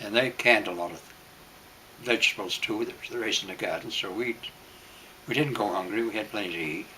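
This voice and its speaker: Through noticeable background noise, a man with an American accent talks very fast but with long, frequent pauses. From Maine, US. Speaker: World War Two veteran. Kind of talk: oral history interview. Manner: halting, with frequent fillers.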